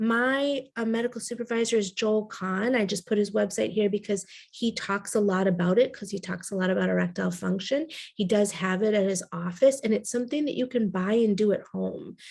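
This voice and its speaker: At a fairly quick pace, a woman talks at a medium pitch in a plain, everyday voice. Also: fairly even intonation. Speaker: naturopathic integrative oncology doctor. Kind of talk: health lecture to audience. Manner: casual, conversational.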